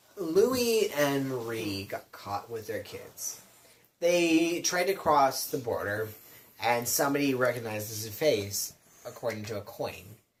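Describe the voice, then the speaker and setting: Lively intonation marks this man's medium-pitched voice at a fairly slow pace. Noticeable background noise runs underneath. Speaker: drunk storyteller. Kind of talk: casual drunken history retelling.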